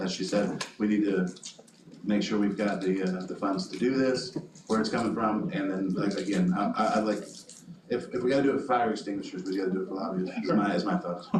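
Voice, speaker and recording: A man with a fairly low pitch and ordinary pitch variation talks at a fairly quick pace. Audible room echo and noticeable background noise surround his voice. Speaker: city council member. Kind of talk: council meeting discussion. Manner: fast.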